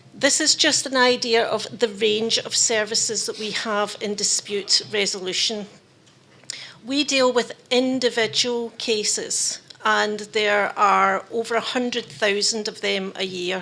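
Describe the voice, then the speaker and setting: A woman in a Scottish accent talks at a fairly slow pace in a fairly high voice. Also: ordinary pitch variation. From Scotland. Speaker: labour dispute conciliator. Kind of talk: conference presentation.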